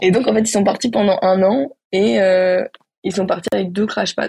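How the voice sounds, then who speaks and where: A woman speaks at medium pitch and a moderate pace, with vocal fry. The sound is dry and close, with no echo. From Spain, Barcelona. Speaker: rock climber. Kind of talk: casual chat.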